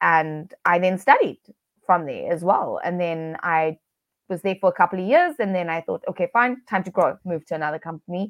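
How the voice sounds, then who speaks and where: Fairly low-pitched woman's voice with a South African accent, a moderate pace and ordinary pitch variation. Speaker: business coach, virtual assistant business owner. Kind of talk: interview. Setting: video call.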